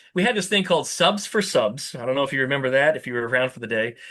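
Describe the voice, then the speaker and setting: The speech comes at a very fast pace, with an animated tone and lively intonation. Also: man. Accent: New Jersey. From New Jersey. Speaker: VW YouTuber and fabricator. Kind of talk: podcast interview. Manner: loud.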